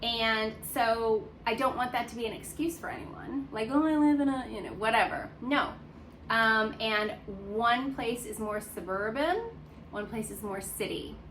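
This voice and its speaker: A woman's fairly high voice at a fairly slow pace, ordinary pitch variation, with noticeable background noise and audible room echo. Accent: American. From United States. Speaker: dog care vlogger. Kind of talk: casual vlog talk, unedited single take. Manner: conversational with frequent fillers.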